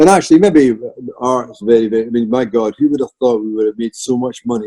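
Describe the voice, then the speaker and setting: A man with a Scottish accent speaks in a dark, mellow tone at medium pitch and a fairly quick pace. His intonation is fairly even, and the sound is dry and close with no echo. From Scotland. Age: 60s. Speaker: artist. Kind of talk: casual chat. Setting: video call.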